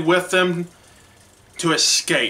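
A man with a high pitch, monotone, flat intonation and a very slow pace. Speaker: church media ministry director. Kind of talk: sermon; sermon-style Bible retelling. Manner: halting, many restarts and fillers. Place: home room. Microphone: webcam.

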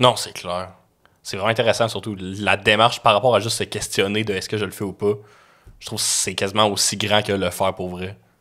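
Here a man talks at a fairly quick pace with a fairly low pitch. His intonation is monotone and flat over a quiet background. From Quebec. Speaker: podcast host. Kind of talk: casual interview. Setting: studio. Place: studio. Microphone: studio mic.

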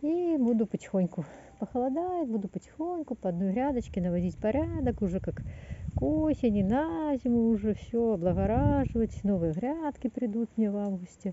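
Over light background noise, a woman speaks at a moderate pace in a somewhat breathy voice. The sound is dry with no echo. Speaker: gardener vlogger. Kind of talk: casual vlog chat. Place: garden. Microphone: phone near.

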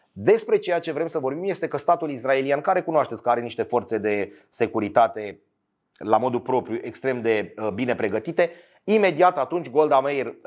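Against a quiet background, a man speaks at a medium pitch with lively intonation. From Romania. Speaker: sports storyteller. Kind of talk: scripted narration. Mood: somber, serious. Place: studio. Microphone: lapel.

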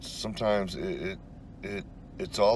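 Ordinary pitch variation from a male speaker, noticeable background noise, and a dry sound with no echo. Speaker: urban explorer vlogger. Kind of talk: casual vlog chat. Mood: reflective, slightly wistful. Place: car. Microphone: phone near.

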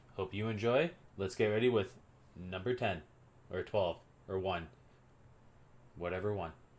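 A man talks at a moderate pace, his pitch fairly low and his pitch variation ordinary. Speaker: anime reviewer. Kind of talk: casual vlog chat. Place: home room. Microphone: webcam.

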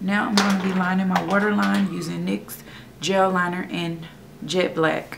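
There is noticeable background noise behind a woman's voice. She speaks at a fairly slow pace. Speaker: beauty vlogger. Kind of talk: tutorial. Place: home room. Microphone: phone near.

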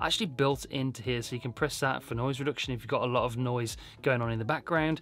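A man's medium-pitched voice has a fairly bright tone and ordinary pitch variation.

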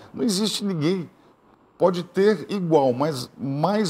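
Intonation rises and falls in a lively way. The man's tone is animated throughout. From southern Brazil. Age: 60s. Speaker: gubernatorial candidate, politician; candidate. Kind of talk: TV interview, campaign pitch. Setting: TV studio. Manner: animated, direct address to viewers. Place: studio.

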